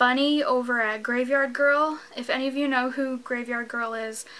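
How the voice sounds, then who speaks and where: A woman speaks at a fairly slow pace in a high, bright and sharp voice, her intonation flat and monotone. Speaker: vlogger. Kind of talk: casual vlog chat. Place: home room.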